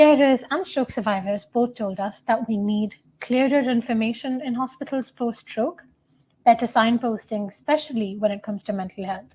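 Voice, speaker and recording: Her pitch sits fairly high, with a dark, mellow tone. The woman has a Tamil accent and ordinary pitch variation. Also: moderate pace. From India. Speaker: student researcher. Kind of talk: conference talk.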